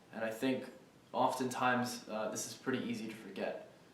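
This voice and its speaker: A man speaks at a moderate pace. Audible room echo and noticeable background noise are present. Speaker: student vlogger. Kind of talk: casual vlog monologue. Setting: outdoors walking on campus. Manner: hesitant, many fillers.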